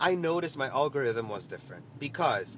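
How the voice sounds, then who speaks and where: Speaking at a moderate pace, a man with a Spanish accent has a fairly high pitch. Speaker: social media user. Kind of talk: casual vlog. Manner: halting.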